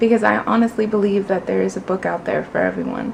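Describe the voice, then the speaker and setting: A woman talks at a fairly quick pace. Noticeable background noise is present. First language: Spanish. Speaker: booktuber. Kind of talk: casual vlog, answering tag questions. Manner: casual, conversational with fillers.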